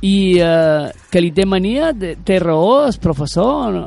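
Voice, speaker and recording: The speaker has an animated tone and lively intonation. They talk in a Mallorcan accent. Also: man. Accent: Mallorcan Catalan. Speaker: radio workshop host. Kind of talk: youth radio interview. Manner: halting.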